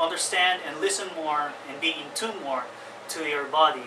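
Speech moves at a moderate pace with fairly even intonation over noticeable background noise. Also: man. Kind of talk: tutorial. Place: home room. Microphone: camera far.

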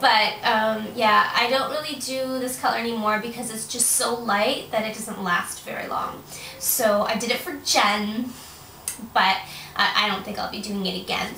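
A woman's voice at a moderate pace with ordinary pitch variation, light background noise and audible room echo. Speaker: vlogger. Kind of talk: casual vlog chat. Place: home room. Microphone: webcam.

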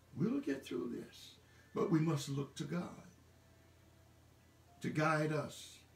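His delivery is very slow. The room around the man echoes audibly. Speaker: pastor. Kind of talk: sermon / church message delivered online. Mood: warm and encouraging. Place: home room.

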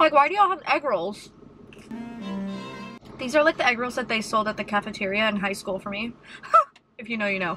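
Music plays in the background as a woman talks at a fairly quick pace. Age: 20s. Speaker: YouTuber, food reviewer. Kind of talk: casual talk to camera, food review. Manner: casual, chatty, humorous. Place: car. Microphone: phone near.

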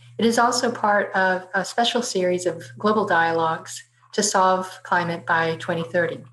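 Woman speaking at a moderate pace, ordinary pitch variation, light background noise behind her. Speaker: webinar host. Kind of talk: formal event introduction. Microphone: webcam.

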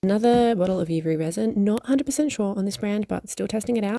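Against a quiet background, a woman with a dark, mellow tone speaks at a very fast pace with very wide pitch swings, in a dry sound with no echo. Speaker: polymer clay artist. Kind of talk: casual talk to camera. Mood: cheerful, self-mocking. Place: home room. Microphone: phone near.

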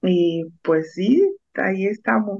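Against a quiet background, a woman speaks with a fairly low pitch. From Mexico, Oaxaca (Mixteca region); Oaxaca, Mexico. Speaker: food truck owner; guest. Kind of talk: radio interview. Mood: warm, proud. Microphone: video call.

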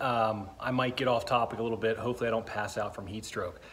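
Somewhat breathy, a man talks at a fairly quick pace over light background noise. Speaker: car hobbyist vlogger. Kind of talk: casual vlog chat. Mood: upbeat, joking about heat. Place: garage. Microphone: phone near.

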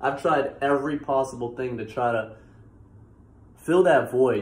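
A man speaks in a somewhat breathy voice at a fairly slow pace with fairly even intonation. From Massachusetts, US. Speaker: YouTuber. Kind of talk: testimony. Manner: casual, halting with fillers. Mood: relaxed, earnest. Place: home room. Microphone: phone near.

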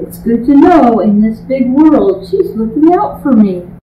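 In a room with audible echo and light background noise, a woman speaks with lively intonation. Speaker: grandmother. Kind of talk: reading aloud. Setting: at home with baby on lap. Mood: warm, gentle, affectionate. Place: home room. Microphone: camera far.

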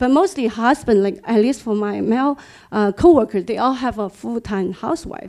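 The speaker has a Chinese accent and a dark, mellow tone, with lively intonation at a moderate pace. The background is quiet. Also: woman, fairly high pitch for a woman. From China. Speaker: engineer; panelist. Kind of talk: audience comment. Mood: earnest, personal. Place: meeting room. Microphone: handheld.

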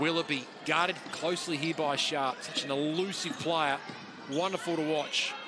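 This man talks at a moderate pace in a fairly high pitch, with an animated, upbeat tone. His loudness stays very even over noticeable background noise. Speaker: basketball commentator. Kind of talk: live sports commentary.

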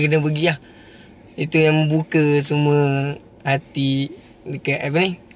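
A man speaks at a fairly high pitch with fairly even intonation. The sound is dry with no echo, over light background noise. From Malaysia, Pahang (Temerloh); Pahang, Malaysia. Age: 20s. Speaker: young entrepreneur, former drain cleaner. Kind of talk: interview. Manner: giggly, hesitant. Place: car. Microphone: phone near.

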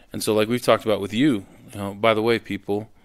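A man with an American accent talks in a plain, everyday voice, pitched fairly low with fairly even intonation. The recording is very clean, with a silent background. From US Pacific Northwest. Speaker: record producer. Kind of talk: casual chat.

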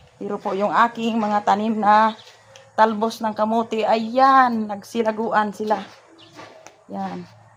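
A woman's fairly high, monotone, flat voice at a very slow pace, against noticeable background noise. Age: old. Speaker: family vlogger. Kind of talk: casual vlog narration.

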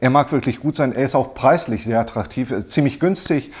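A man is talking, and his pitch shows ordinary variation. Behind him the background stays quiet. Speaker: woodworking hobbyist reviewer. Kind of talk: casual product review chat. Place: workshop.

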